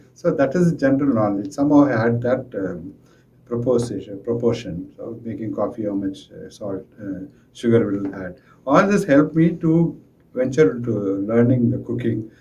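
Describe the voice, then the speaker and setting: A man speaks at a moderate pace and medium pitch in a dark, mellow tone with vocal fry. His intonation is lively and his loudness swings widely. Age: 60s. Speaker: school administrator. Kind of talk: interview answer. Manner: halting.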